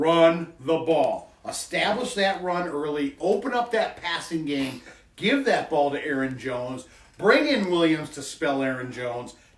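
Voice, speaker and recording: Noticeable noise sits in the background. The pace is fairly slow. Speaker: football podcast co-host. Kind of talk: casual sports chat. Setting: studio.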